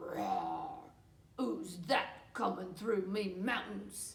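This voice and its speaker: In a cartoonish character voice with a slight echo, a woman speaks at a very slow pace. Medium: puppet. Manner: gruff.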